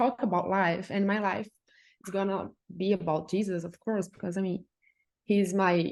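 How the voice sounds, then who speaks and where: A woman at a medium pitch and moderate pace. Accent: Brazilian. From Brazil. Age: 20s. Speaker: journalist. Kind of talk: casual interview chat.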